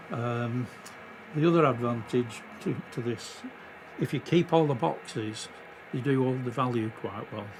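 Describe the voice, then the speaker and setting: A man speaks at a fairly slow pace and medium pitch with ordinary pitch variation, leaving long, frequent pauses. Noticeable background noise and audible room echo are present. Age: 70s. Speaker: model railway hobbyist. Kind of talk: guided tour. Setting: at home, garden and garage. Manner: casual, hesitant with fillers.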